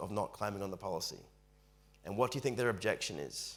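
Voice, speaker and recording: Speaking with an Australian accent, a man talks at a very fast pace with ordinary pitch variation. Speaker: financial advice presenter. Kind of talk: webinar presentation.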